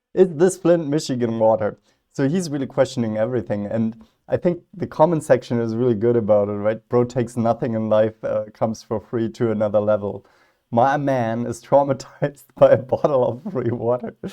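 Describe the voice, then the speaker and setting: Against a quiet background, the voice has a dark, mellow tone and ordinary pitch variation. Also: man, medium pitch for a man. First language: not English. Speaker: philosophy youtuber. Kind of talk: reaction video commentary. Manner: casual, hesitant with fillers.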